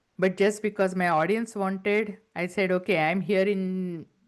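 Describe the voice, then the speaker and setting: Against a quiet background, a woman with a non-native accent speaks at a moderate pace. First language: not English. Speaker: entrepreneur and business coach. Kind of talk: interview.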